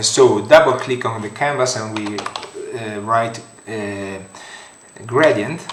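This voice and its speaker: Speaking at a very slow pace with a strong Italian accent, a man is heard through audible room echo and noticeable background noise. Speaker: 3D modeling tutorial creator. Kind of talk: software tutorial. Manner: halting, many fillers.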